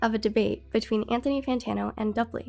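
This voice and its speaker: Behind the voice, music is playing. The speaker is a woman. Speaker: streamer. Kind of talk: casual livestream talk.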